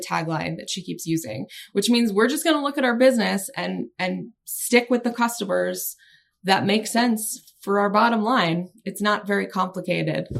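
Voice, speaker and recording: This woman has an American accent and a medium pitch. Vocal fry runs through her speech at a moderate pace. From Maryland (Annapolis). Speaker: business journalist. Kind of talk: casual interview.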